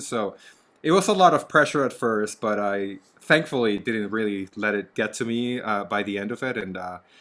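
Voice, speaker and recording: Over a very clean recording with a silent background, a man speaks in a Spanish accent at a fairly quick pace. His tone is bright and sharp, his intonation lively. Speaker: actor and podcast co-host. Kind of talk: casual chat.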